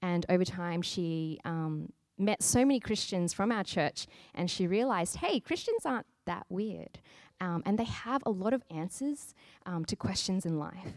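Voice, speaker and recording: Recorded very cleanly with a silent background and a dry, close sound with no echo, a woman with an Australian accent speaks at a moderate pace and medium pitch, her intonation lively. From Australia, Sydney. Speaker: church planter. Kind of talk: interview.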